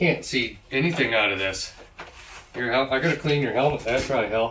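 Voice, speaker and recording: Male voice of medium pitch at a fairly quick pace, ordinary pitch variation, noticeable background noise. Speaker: garage channel host, father teaching son welding. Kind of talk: casual workshop chat. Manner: mumbling.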